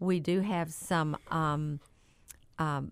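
Here is a woman with an unremarkable speaking voice. Her pitch is fairly low and her intonation fairly even. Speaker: auctioneer. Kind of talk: casual radio talk show.

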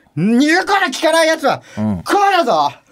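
Someone uses a put-on character voice pitched high. The pace is moderate. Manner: stern, commanding.

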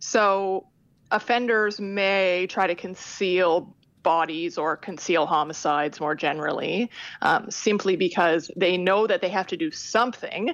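The speaker uses a plain, everyday voice at a fairly slow pace, with pitch moving in an ordinary way. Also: woman, medium pitch for a woman. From Canada. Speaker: criminology professor. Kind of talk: interview.

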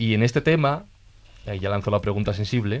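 Talking at a fairly quick pace, a man has a medium pitch with ordinary pitch variation. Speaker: podcast host. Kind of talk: casual chat.

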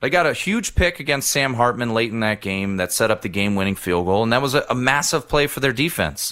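A man talks very fast at a medium pitch, with hardly any pauses and lively intonation. His tone is bright and sharp, and the recording is very clean with a silent background. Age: 30s. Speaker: sports betting radio host. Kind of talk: casual sports talk.

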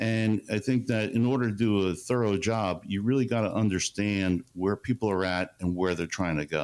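A man with an unremarkable speaking voice talks at a moderate pace and fairly low pitch, with ordinary pitch variation and very even loudness, on a very clean recording with a silent background. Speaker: chief investment officer. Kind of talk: radio interview. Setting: studio.

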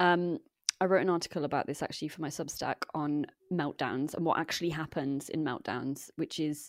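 On a very clean recording with silence behind it, the speech comes at a fairly quick pace. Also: woman. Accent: English. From England. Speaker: environmental activist. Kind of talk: interview conversation.

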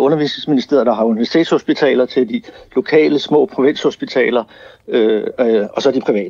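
Speaking with ordinary pitch variation, a man has a fairly high pitch. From Denmark. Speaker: businessman. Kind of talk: radio interview. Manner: halting.

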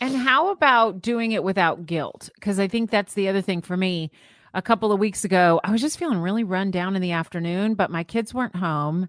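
A woman at a medium pitch speaks fairly quickly with an American accent and ordinary pitch variation, an unremarkable speaking voice. The recording is very clean and dry, close, with a silent background and no echo. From Florida. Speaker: podcast co-host. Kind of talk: casual chat.

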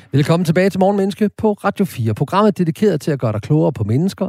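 Very fast and somewhat breathy, a man's dark, mellow voice moves through very wide pitch swings on a very clean recording with a silent background. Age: 50s. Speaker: radio host. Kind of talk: casual chat; scripted narration. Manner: halting.

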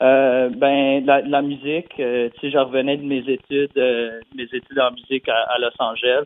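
Monotone and flat, a man speaks at a fairly slow pace. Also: medium pitch for a man, hardly any pauses. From New Brunswick, Canada (Dieppe, near Moncton). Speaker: country pop singer. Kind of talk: interview. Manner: halting, many repetitions and fillers.

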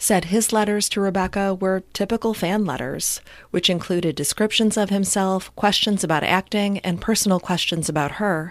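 A woman in an ordinary speaking voice, fairly even in intonation, at a moderate pace on a very clean recording with a silent background. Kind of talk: true-crime narration. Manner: measured, solemn, scripted delivery.

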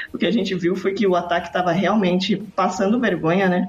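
The speaker goes at a fairly quick pace amid noticeable background noise. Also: woman. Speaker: sports podcaster. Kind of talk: casual chat.

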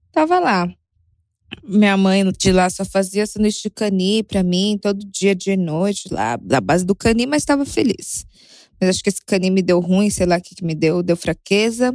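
Recorded very cleanly against a silent background with a dry, close sound and no echo, a woman speaks at a moderate pace in a medium voice with ordinary pitch variation. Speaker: listener sharing a story. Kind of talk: recorded voice message. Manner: animated.

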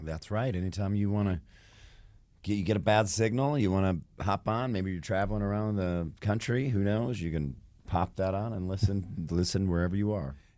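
A man with a fairly low pitch and an ordinary speaking voice talks at a moderate pace with ordinary pitch variation. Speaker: radio co-host. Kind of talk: radio talk show. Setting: radio studio.

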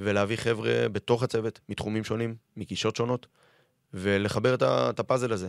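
Speaking fairly quickly in a normal speaking voice, a man with fairly low pitch is recorded dry and close with no echo, very clean against a silent background. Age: 30s. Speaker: football fitness coach. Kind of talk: podcast interview. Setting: radio studio.

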